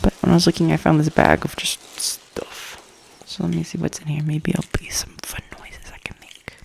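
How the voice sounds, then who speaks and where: Whispering at a moderate pace in an American accent, a woman swings widely in loudness over noticeable background noise. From US South East Coast. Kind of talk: ASMR ramble. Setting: at home. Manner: whispered, soft-spoken.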